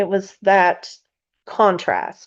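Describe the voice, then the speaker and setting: With a Kentucky accent, a woman speaks at a medium pitch. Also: quiet background. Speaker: spiritual podcast host. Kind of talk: casual spiritual teaching. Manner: halting, many fillers.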